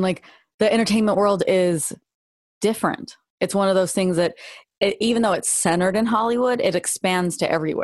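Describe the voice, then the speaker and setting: A woman with an American accent talks at a fairly quick pace in a normal speaking voice, at medium pitch with ordinary pitch variation. The background is quiet. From Los Angeles area. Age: 40s. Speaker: jiu-jitsu and self-defense instructor. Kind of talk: casual chat.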